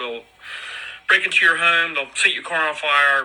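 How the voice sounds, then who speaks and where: Over noticeable background noise, a man talks at a fairly quick pace in a fairly high voice. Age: 60s. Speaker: podcaster. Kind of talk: solo audio podcast monologue. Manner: halting, with fillers and repetitions.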